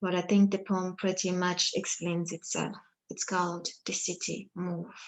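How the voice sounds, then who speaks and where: A woman speaks at a fairly slow pace with a Congolese accent. Her medium-pitched voice has a monotone, flat intonation. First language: Lingala. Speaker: poet. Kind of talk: poetry reading; introduction.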